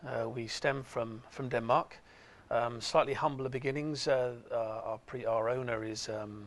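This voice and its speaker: A man with an English accent talks at a fairly slow pace at a medium pitch, his intonation fairly even. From England. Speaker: company executive. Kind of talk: TV interview. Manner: halting, many fillers.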